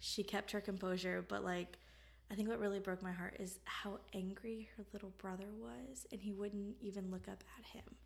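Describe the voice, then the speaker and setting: Her voice is somewhat breathy, at a medium pitch for a woman. She keeps a moderate pace with ordinary pitch variation. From Florida. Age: 20s. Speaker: true crime podcast co-host. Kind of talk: casual chat. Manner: animated.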